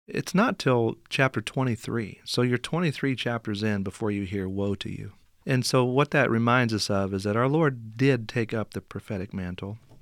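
Speaking at a moderate pace and medium pitch, a man with a US Midwestern accent is heard on a very clean recording with a silent background. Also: ordinary pitch variation, dry, close sound with no echo. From southern Indiana. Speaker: pastor and seminary professor. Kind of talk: interview.

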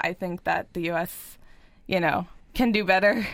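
This woman has an ordinary speaking voice with an American accent. She speaks at a medium pitch and a moderate pace, with ordinary pitch variation. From US Northeast (Pennsylvania). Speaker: college student. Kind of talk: radio interview. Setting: studio.

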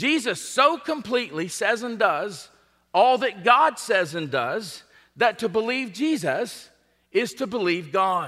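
In a raised, projected voice with a bright, sharp tone, the speaker moves fairly slowly through very wide pitch swings on a very clean recording with a silent background. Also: man, high pitch for a man. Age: 50s. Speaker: pastor. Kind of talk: sermon. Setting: church.

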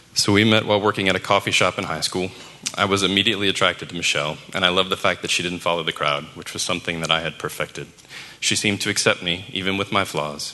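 A man's very deep, low voice at a very fast pace, fairly even in intonation, with noticeable background noise. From US South, New Orleans. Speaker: church member sharing testimony. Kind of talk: testimony.

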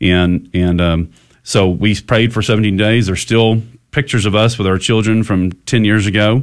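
Someone with a Texan accent speaks at a moderate pace with fairly even intonation and very even loudness. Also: man, fairly low pitch for a man. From Texas (Goliad). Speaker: family advocacy group founder. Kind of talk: radio interview. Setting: studio.

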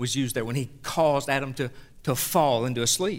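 Moderate pacing in a Southern US accent, on a very clean recording with a silent background. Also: man. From US South. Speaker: pastor. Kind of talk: sermon. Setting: church.

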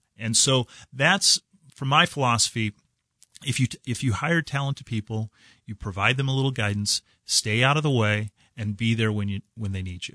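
Speaking with a Midwestern US accent, a man uses a bright, sharp tone at a moderate pace, with ordinary pitch variation and a dry, close sound with no echo. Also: medium pitch for a man, quiet background. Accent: US Midwest. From southwest Kansas, US. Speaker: bank executive. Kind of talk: radio interview. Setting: radio studio.

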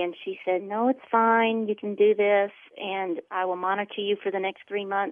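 A woman talks in an ordinary speaking voice at a medium pitch. Her pace is moderate, with ordinary pitch variation. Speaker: client sharing weight loss testimony. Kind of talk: testimony.

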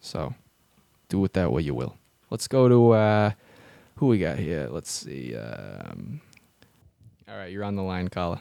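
With a dark, mellow tone, a man talks at a fairly slow pace in a very deep, low pitch, his pitch swinging very widely and his loudness rising and falling sharply, broken by long, frequent pauses. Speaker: radio host. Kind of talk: radio dj patter. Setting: radio studio.

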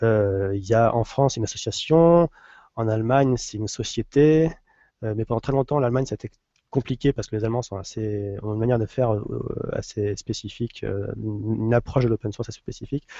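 The sound is dry and close, with no echo. A dark, mellow tone comes at a fairly quick pace with ordinary pitch variation. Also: man, medium pitch for a man. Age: 30s. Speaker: WordPress lead translator. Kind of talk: casual chat. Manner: halting.

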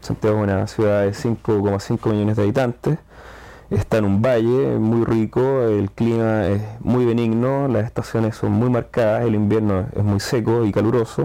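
Ordinary pitch variation at a moderate pace in a Chilean accent. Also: man. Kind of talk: casual chat. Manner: hesitant, with fillers and repetitions.

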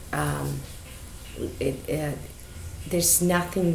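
Against noticeable background noise, a woman with a Chilean accent and a very deep, low pitch speaks at a fairly slow pace. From Chile, Santiago. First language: Spanish. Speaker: business owner. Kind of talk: casual chat. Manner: halting.

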